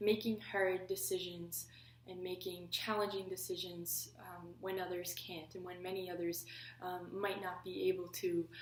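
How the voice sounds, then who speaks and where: A woman with a Canadian Maritime accent at a medium pitch and moderate pace, ordinary pitch variation, big swings in loudness, and noticeable background noise behind her. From Prince Edward Island, Canada. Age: 20s. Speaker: political science student. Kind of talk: application video talk to camera.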